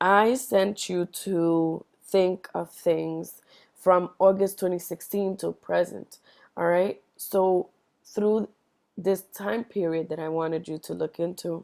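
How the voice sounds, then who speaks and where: At a very slow pace and with fairly even intonation, the voice comes through in a very clean recording with a silent background. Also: woman, medium pitch for a woman. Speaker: tarot reader. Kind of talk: tarot reading monologue.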